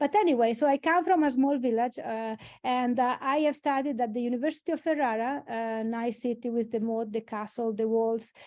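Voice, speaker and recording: A woman's high voice with an Italian accent, fairly quick with hardly any pauses and ordinary pitch variation. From Italy, Emilia-Romagna. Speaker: engineering dean or academic leader. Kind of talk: webinar presentation. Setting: online webinar. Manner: halting, with many fillers.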